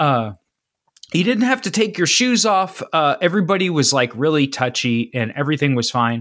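At a moderate pace and very even loudness, the speaker's pitch swings very widely in a Midwestern American accent. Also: man, fairly high pitch for a man. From Ohio, east of Cincinnati. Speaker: podcast host. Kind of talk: casual chat.

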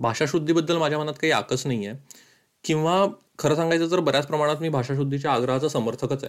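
In a very clean recording with a silent background, a man speaks at a fairly high pitch with ordinary pitch variation. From Madhya Pradesh, India. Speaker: podcaster and writer. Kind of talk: narrated podcast monologue.

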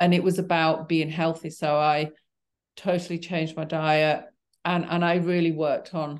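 A woman with a Yorkshire accent and fairly low pitch speaks with monotone, flat intonation against a quiet background. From Yorkshire, northern England. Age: 60s. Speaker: cancer survivor. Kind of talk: interview conversation. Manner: halting.

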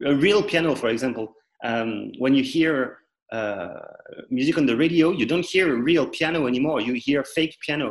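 A man with a French accent, fairly high pitch, and ordinary pitch variation. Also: moderate pace. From central France. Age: 30s. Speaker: musician. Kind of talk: interview.

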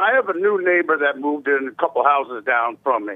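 Here a man talks with an American accent. His pace is fairly quick. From Texas. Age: 50s. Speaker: caller. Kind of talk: casual chat. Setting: phone call.

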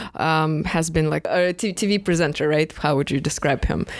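With a Russian accent, a woman speaks at a fairly low pitch and moderate pace, her intonation fairly even. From Moscow, Russia. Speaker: co-host. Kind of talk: casual conversation.

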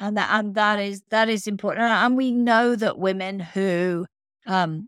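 Over a very clean recording with a silent background, a woman speaks in a plain, everyday voice at a fairly slow pace, with ordinary pitch variation and a dry, close sound with no echo. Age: 60s. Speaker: podcast host. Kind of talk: interview.

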